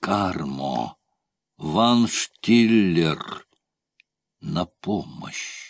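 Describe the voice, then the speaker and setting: Using a put-on character voice, a man speaks at a very slow pace and a fairly low pitch, with long, frequent pauses. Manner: weak, shouting for help.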